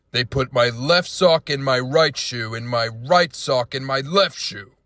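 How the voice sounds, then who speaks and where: A man puts on a character voice at a medium pitch. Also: very clean recording, silent background. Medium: machinima. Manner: earnest, bro-ish.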